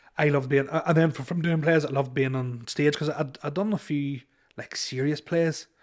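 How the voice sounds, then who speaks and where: Here a man speaks with an Irish accent. He talks at a fairly quick pace with fairly even intonation. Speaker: comedian. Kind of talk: casual chat. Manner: halting.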